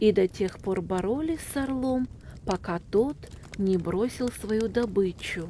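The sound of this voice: Here the reading voice is unforced.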